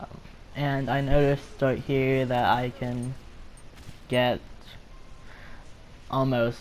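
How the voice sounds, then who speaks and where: Noticeable background noise is present throughout. A man talks in a monotone, flat intonation. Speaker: gamer. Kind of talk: video game commentary.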